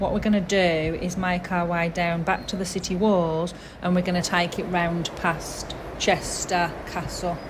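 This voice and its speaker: Over noticeable background noise, a woman with a fairly low pitch speaks at a fairly slow pace in a monotone, flat intonation. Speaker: travel blogger. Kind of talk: travel tour narration.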